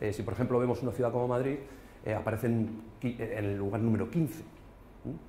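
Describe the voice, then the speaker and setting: A man's somewhat breathy, dark, mellow voice of medium pitch, very fast, with fairly even intonation and audible room echo. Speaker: business consultant. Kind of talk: business presentation. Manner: hesitant, many fillers.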